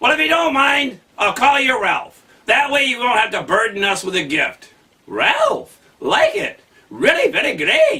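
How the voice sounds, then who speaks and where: An extremely high-pitched put-on character voice from a man, at a moderate pace. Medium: read story.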